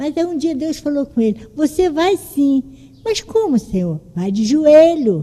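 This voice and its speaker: A woman talks at a fairly slow pace. Her voice sits high and swings very widely in pitch. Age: 70s. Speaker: church member speaking in Bible class. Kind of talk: testimony. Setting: church classroom with microphone.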